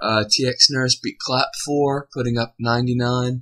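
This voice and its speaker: A man speaks at a fairly slow pace and medium pitch, keeping his intonation fairly even. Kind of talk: fantasy football preview commentary.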